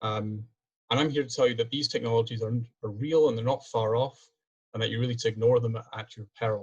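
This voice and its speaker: A man with a Scottish accent at medium pitch and a very fast pace. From Scotland. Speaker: PhD student and engineer presenting research. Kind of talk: webinar presentation. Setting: video call.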